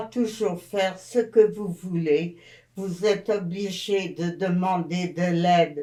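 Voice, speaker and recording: This woman talks at a very slow pace in a dark, mellow tone. Her intonation stays fairly even. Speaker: elderly interviewee. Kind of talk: interview.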